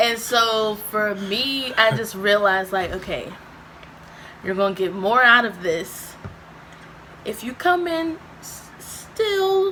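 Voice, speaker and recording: A loud woman with a fairly high pitch and very wide pitch swings speaks over noticeable background noise. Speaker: YouTuber. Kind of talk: casual chat. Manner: loud, boisterous.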